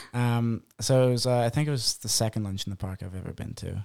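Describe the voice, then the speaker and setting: A man speaks with a strong Irish accent and fairly even intonation. The recording is very clean, with a silent background. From Ireland, Boyle, County Roscommon. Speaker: missionary. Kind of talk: casual chat.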